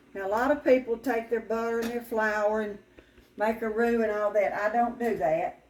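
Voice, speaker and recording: A woman speaks in a Southern US accent with a fairly high pitch. Her pitch variation is ordinary. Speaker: restaurant owner and home cook. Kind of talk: cooking tutorial. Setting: home kitchen. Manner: casual, conversational.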